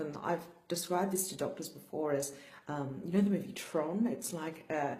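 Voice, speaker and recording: There is audible room echo as a woman speaks at a moderate pace and a fairly low pitch. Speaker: brain injury survivor vlogger. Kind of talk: personal vlog talk. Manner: slurred speech; flat, low energy.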